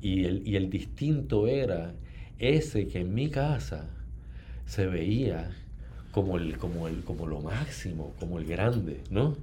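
A very deep, low male voice with vocal fry and a dark, mellow tone, very slow, with very wide pitch swings and audible room echo. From Puerto Rico, Ponce. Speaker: novelist. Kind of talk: interview.

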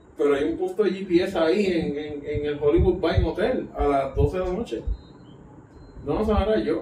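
With audible room echo and noticeable background noise, a man speaks at a fairly slow pace with long, frequent pauses, his pitch high and his pitch variation ordinary. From Puerto Rico. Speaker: podcast guest. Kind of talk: casual chat.

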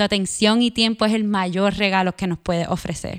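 A woman speaks in a Puerto Rican accent at a medium pitch. The recording is very clean with a silent background, dry and close with no echo. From Puerto Rico. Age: 30s. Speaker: podcast host and journalist. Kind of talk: personal narration with guided body awareness. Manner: calm, reflective.

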